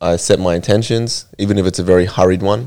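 A man with an Australian accent speaks in a very deep, low pitch, his tone dark and mellow and his intonation fairly even. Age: 20s. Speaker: martial arts fighter. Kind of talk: casual chat.

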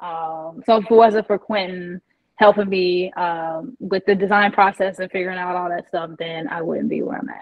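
With an American accent and a plain, everyday voice, a woman of medium pitch speaks at a moderate pace with ordinary pitch variation. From US Midwest, Indiana. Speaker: shoe company founder. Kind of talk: interview.

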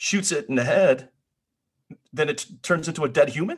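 The speaker has an American accent. There is vocal fry in the voice. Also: man. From northern US. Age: middle-aged. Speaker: podcast co-host. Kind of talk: casual chat.

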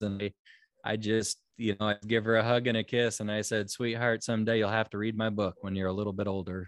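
A man's fairly low, monotone, flat voice with an American accent, at a fairly quick pace with hardly any pauses, against a quiet background. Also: dry, close sound with no echo. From Nebraska, US Midwest (Omaha). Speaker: psychic medium and author. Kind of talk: interview. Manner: halting, many fillers and repeats.

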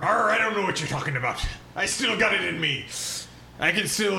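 Using a put-on character voice, a man speaks high-pitched at a fairly quick pace over clear background noise. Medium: actual play. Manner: gruff, grumbling.

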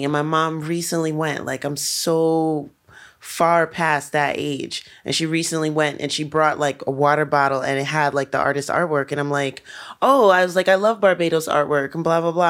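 A woman with a New York accent and a very deep, low pitch, animated in tone, at a moderate pace, on a very clean recording with a silent background. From New York City. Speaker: podcast co-host and musician. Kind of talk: casual chat. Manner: animated, laughs often.

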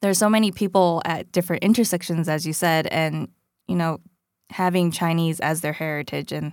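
On a very clean recording with a silent background, a woman uses an ordinary speaking voice, fairly low in pitch, at a fairly quick pace with fairly even intonation. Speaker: podcast host. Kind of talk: scripted narration and interview.

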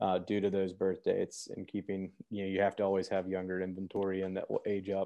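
A man with an American accent talks at a very fast pace in a very deep, low voice. His intonation is monotone and flat. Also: hardly any pauses. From Memphis, Tennessee (US South). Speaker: distillery executive and attorney. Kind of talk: podcast interview.

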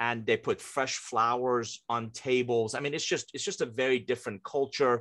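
A man speaks at a moderate pace with a slight non-native accent. His medium-pitched voice keeps a fairly even intonation against a quiet background. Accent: hardly any foreign. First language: not English. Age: 50s. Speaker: author and business coach. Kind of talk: interview.

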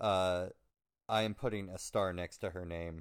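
Here is a man with an ordinary speaking voice and fairly low pitch, talking at a fairly slow pace. The recording is very clean, with a silent background. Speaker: podcast co-host. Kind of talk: casual chat and recap reading.

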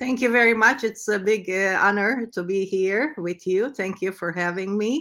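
In a Turkish accent, a woman with a medium pitch and a bright, sharp tone talks at a moderate pace with hardly any pauses and ordinary pitch variation, on a very clean recording with a silent background. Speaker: entrepreneur. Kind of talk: interview. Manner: halting.

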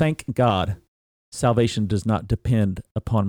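A man with an American accent speaks in a fairly low pitch, his tone dark and mellow, the sound dry and close with no echo. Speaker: pastor and podcast host. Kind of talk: interview. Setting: studio.

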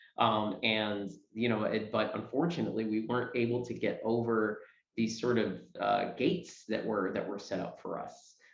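A man with an American accent speaks at a medium pitch and a moderate pace, with vocal fry. The pitch varies in an ordinary way, and audible room echo surrounds the voice. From New York City area. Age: 30s. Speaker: stage actor. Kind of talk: interview. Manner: halting.

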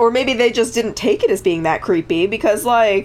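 A woman with an American accent and an ordinary speaking voice, lively intonation at a fairly quick pace, on a very clean recording with a silent background. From Connecticut. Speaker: podcast co-host. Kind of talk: casual chat.

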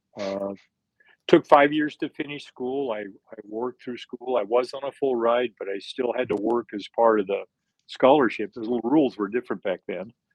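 An unremarkable speaking voice from a man, medium in pitch with ordinary pitch variation, big swings in loudness, and an American accent. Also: moderate pace. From US, southern Utah. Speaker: retired business executive. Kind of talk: interview testimony.

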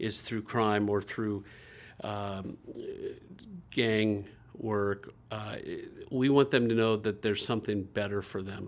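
A man with an American accent speaks in an ordinary speaking voice at a fairly slow pace, his fairly low pitch moving in fairly even intonation over a very clean recording with a silent background. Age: 50s. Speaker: nonprofit executive director. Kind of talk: interview.

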